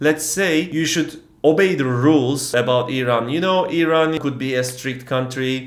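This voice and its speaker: Amid audible room echo, a man speaks at a fairly slow pace and medium pitch with fairly even intonation. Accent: Turkish. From Turkey. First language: Turkish. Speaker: travel vlogger. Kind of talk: casual vlog storytelling. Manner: hesitant, many fillers.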